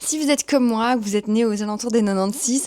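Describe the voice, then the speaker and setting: Speaking at a very fast pace with lively intonation, a woman with a Belgian accent has a dark, mellow tone. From Belgium. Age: 30s. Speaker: YouTuber and communications professional. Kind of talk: casual vlog introduction. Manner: chatty.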